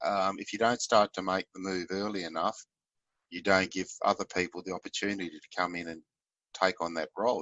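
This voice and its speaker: A man speaks with an Australian accent at a very deep, low pitch. His intonation is monotone and flat. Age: 60s. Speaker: leadership facilitator and fisheries consultant. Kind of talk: interview.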